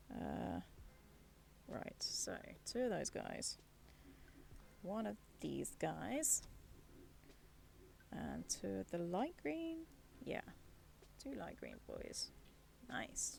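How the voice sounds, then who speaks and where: Very soft-spoken, a woman talks at a very slow pace with long, frequent pauses. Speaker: streamer. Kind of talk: casual chat. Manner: thinking aloud.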